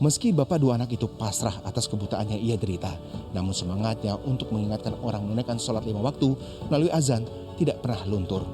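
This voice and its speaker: A man talks at a very fast pace in a fairly low pitch. His intonation is lively, and music plays in the background. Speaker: field reporter. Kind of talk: TV news report narration.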